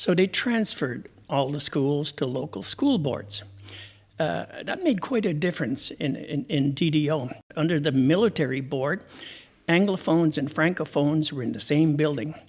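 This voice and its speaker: A man with a Quebec accent and a fairly high pitch, at a moderate pace with ordinary pitch variation, on a very clean recording with a silent background. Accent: English-speaking Quebec Canadian. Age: 70s. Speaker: retired teacher. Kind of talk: interview.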